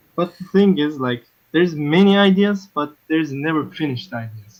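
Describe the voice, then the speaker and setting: Words come at a moderate speed in a non-native accent. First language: not English. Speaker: caller, beatmaker. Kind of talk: casual chat. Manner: hesitant, many fillers.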